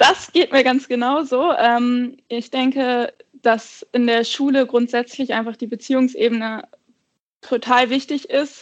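A woman talks at a fairly slow pace and a high pitch, with ordinary pitch variation. She takes long, frequent pauses. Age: 30s. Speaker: secondary school teacher. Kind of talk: casual interview.

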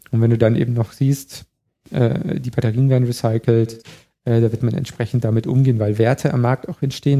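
A man's somewhat breathy voice with a dark, mellow tone, a medium pitch, fairly even intonation and a moderate pace, in a dry, close sound with no echo. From Bavaria, Chiemgau. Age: 30s. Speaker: electromobility expert. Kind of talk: casual interview.

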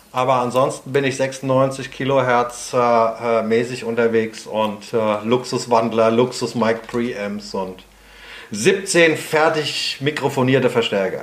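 Over noticeable background noise, a man with a medium pitch speaks at a very slow pace with ordinary pitch variation. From Prague, Czech Republic. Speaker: guitarist and guitar teacher. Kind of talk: casual interview.

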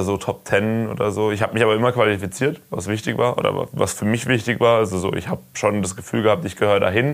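Using an ordinary speaking voice, a man talks with ordinary pitch variation at a fairly low pitch. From Karlsruhe, Germany. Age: 20s. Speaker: enduro racer. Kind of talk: casual chat. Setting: recorded while traveling in the US.

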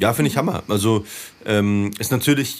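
Man with an ordinary speaking voice and ordinary pitch variation, on a very clean recording with a silent background. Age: 30s. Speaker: DJ, poet and activist. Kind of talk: casual chat. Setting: studio.

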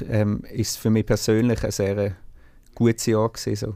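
A man's medium-pitched voice at a moderate pace. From Switzerland, Basel-Landschaft. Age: 30s. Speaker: singer and band frontman. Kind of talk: interview. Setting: video call from a music studio.

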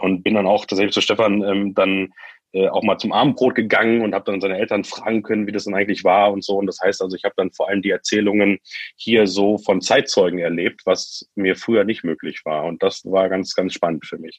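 The speech comes at a fairly quick pace with fairly even intonation, the sound dry and close with no echo. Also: man, fairly low pitch for a man. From Lower Saxony, Germany (Göttingen). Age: 30s. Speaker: startup founder. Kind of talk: interview. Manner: halting, many fillers.

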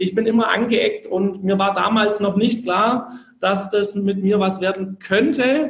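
Fairly even intonation carries speech at a fairly slow pace. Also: man, high pitch for a man. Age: 20s. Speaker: network marketer, former direct sales. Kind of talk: interview.

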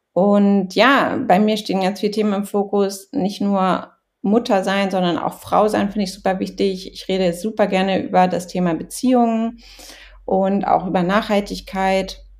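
Talking at a moderate pace with fairly even intonation, a woman has an ordinary speaking voice pitched in the medium range. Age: 30s. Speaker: blogger and influencer. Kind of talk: casual chat.

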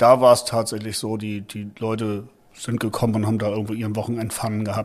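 This man's voice sits fairly low in pitch, with monotone, flat intonation. His loudness swings widely. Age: 50s. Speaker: football fan veteran. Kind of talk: casual chat.

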